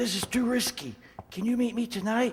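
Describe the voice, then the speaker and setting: Put-on character voice from a man, extremely high pitched, at a fairly quick pace with fairly even intonation. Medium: old radio play. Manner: hushed, nervous.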